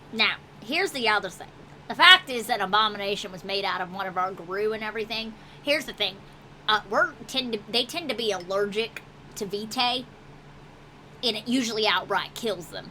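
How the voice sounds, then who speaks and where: A woman does a gruff put-on character voice, fairly high in pitch and fairly quick. Long pauses come often, over clear background noise. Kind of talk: tabletop game master character voice. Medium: actual play. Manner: gruff, profane, folksy.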